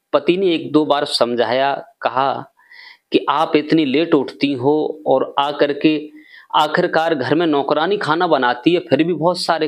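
A man talks at a fairly slow pace. His pitch varies in an ordinary way against a quiet background. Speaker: storyteller vlogger. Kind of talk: storytelling narration. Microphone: lapel.

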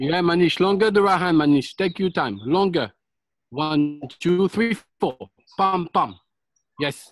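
A man speaks at a fairly slow pace, with long, frequent pauses. The background is quiet and the sound is dry, with no echo. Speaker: fitness instructor. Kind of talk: live group boxing class, barked drill commands and coaching cues. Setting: live online group workout class. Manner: loud, clipped, insistent, repeating commands and 'okay' constantly. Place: garden.

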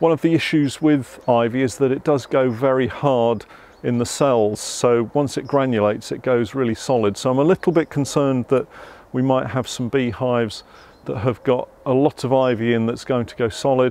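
A man at a moderate pace with fairly even intonation, dry sound with no echo. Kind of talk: tutorial. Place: garden.

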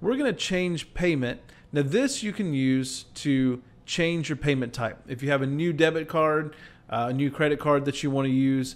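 His pitch moves up and down in an ordinary way. The man keeps a moderate pace. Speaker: presenter. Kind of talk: tutorial. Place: home room. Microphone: webcam.

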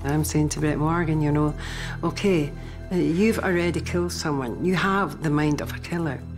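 Over clear music in the background, a woman with a strong Scottish accent speaks at a very deep, low pitch and a moderate pace, using ordinary pitch variation. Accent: thick Scottish. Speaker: private investigator in training, interviewee. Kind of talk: interview answer. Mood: serious, reflective storytelling. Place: home room.

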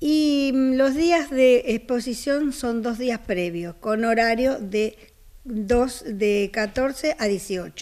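At a very slow pace, a woman speaks with a high pitch. Her loudness swings widely. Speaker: co-owner of the auction house. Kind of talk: promotional interview. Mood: calm, informative. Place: home room. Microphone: handheld.

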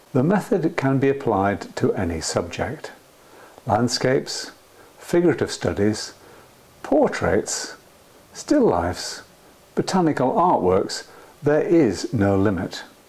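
A man with a fairly high pitch talks at a very slow pace, his pitch swinging very widely. He leaves long, frequent pauses, and noticeable background noise is present. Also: very even loudness. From Scotland. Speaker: painter and art tutor. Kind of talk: art tutorial trailer narration.

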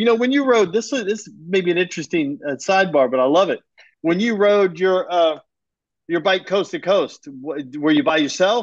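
Against a quiet background, a man with a high pitch speaks at a moderate pace with lively intonation. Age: 50s. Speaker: podcast host. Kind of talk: casual chat. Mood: curious, friendly. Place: home room. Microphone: video call.

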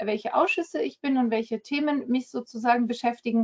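A woman speaks in a high pitch with ordinary pitch variation. The background is quiet. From France. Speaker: member of the European Parliament; politician presenting herself. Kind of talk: webinar presentation. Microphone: webcam.

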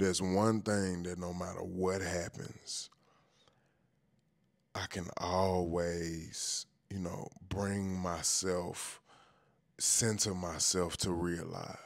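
A man speaks very slowly in a very deep, low voice, with monotone, flat intonation and long, frequent pauses. The sound is dry with no echo, and the background is quiet. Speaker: truck driver vlogger. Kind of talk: casual vlog chat. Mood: weary but playful. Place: home room. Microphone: handheld.

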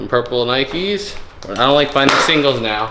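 A man is talking. Loud background noise fills the recording. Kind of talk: casual vlog chat. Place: garage. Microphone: phone near.

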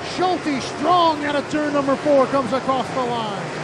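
Spoken at a fairly slow pace, the voice sits over loud background noise. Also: dry sound with no echo. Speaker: race announcer. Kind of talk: live race commentary, play-by-play of dirt track modified feature. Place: stadium.

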